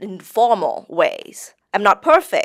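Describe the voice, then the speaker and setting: Very slowly, a woman speaks in a Thai accent, with a dry, close sound, no echo and a very clean recording over a silent background. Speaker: English teacher. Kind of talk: interview. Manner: halting.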